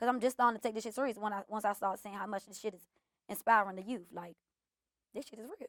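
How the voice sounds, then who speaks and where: Very fast speech from a woman with an American accent and a fairly high pitch. Her intonation is fairly even, and the sound is dry and close with no echo. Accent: DC accent that others notice, she denies it. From Washington DC (southwest). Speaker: content creator and comedian. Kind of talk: casual interview.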